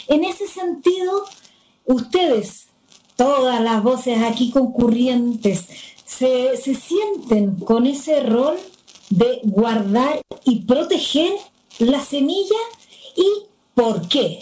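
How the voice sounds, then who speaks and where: A woman with a high pitch speaks at a very slow pace, leaving long, frequent pauses. Her pitch swings very widely. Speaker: constitutional assembly candidate and moderator. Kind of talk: moderated panel discussion. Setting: video call.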